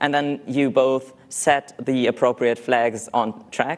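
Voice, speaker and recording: A man with a non-native accent speaks very slowly at a medium pitch, with fairly even intonation and very even loudness. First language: not English. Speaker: conference speaker, software developer. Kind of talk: conference talk.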